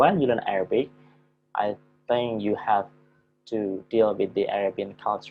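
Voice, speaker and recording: Music plays in the background. A man speaks at a fairly slow pace. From Java, Indonesia. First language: Javanese. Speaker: university lecturer. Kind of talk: lecture. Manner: halting, many fillers.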